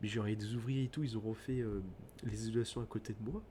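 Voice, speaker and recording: A man speaks quietly. His voice is somewhat breathy. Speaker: gaming streamer. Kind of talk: casual let's play commentary. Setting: at home at night, thin walls. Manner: speaking quietly at night.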